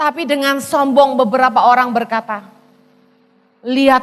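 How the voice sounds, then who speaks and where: A woman speaks in a high-pitched voice. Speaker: pastor. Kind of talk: sermon. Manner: animated.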